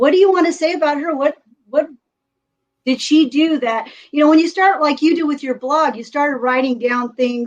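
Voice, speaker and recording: Talking at a moderate pace, a woman with an American accent uses a high pitch and ordinary pitch variation. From US West Coast, California. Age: 60s. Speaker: retired teacher and author. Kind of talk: casual interview chat.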